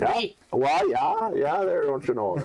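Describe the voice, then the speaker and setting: Fairly slow speech from a man in a put-on character voice. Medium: actual play.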